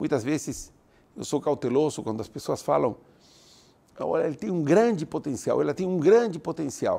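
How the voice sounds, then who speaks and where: A man with a non-native accent speaks at a moderate pace in a dark, mellow tone, captured on a very clean recording with a silent background. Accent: foreign accent in Portuguese. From Italy, then Argentina. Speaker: university president and speaker. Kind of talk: motivational lecture.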